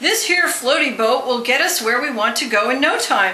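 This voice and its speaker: At a moderate pace, the voice is a put-on character voice. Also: woman, high pitch for a woman. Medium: read story. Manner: bold, proud.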